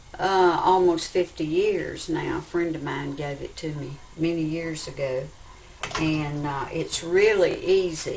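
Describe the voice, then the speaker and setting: Speech in a Southern US accent comes at a fairly slow pace with fairly even intonation. Noticeable background noise runs underneath. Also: woman, fairly low pitch for a woman. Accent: Southern American. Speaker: home cook. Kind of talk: cooking tutorial to camera.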